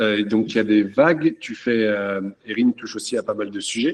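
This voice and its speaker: A man with a normal speaking voice talks at a moderate pace with fairly even intonation. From France. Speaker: château owner. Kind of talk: panel talk.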